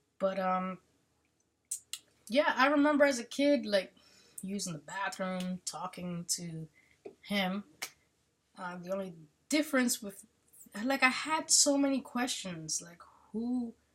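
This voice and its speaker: A woman with a medium, somewhat breathy voice talks at a fairly slow pace, with long, frequent pauses, big swings in loudness and very wide pitch swings. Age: 30s. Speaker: army veteran. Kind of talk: casual chat. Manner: halting.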